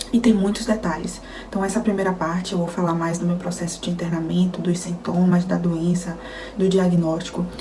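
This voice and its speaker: Noticeable background noise and audible room echo surround a woman speaking at a moderate pace. Her pitch is fairly low and her intonation monotone and flat. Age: 20s. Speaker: nutritionist sharing illness story. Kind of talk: testimony. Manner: casual, conversational.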